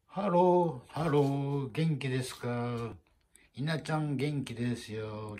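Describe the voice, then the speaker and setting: Medium in pitch with ordinary variation, a man's voice comes across dark, mellow and somewhat breathy. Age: old. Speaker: cooking vlogger. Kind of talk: casual cooking video chat. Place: kitchen. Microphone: phone near.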